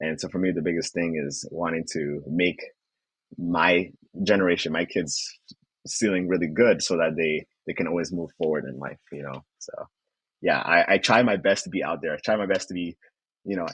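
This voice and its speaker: Speaking with a Rwandan accent, a man has a very deep, low pitch, fairly even intonation and a moderate pace. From Rwanda, moved to Canada in 2010. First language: Kinyarwanda. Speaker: finance student. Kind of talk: podcast interview.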